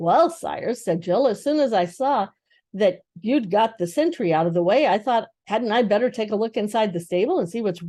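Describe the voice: Lively intonation carries this plain reading aloud over a quiet background.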